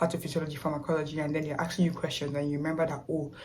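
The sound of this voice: A woman's low voice, very fast, slightly mellow, with little pitch movement and audible room echo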